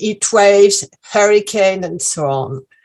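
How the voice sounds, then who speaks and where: Speaking very slowly, a woman with a French accent keeps her voice at a medium pitch. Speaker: activist speaker. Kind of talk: political talk.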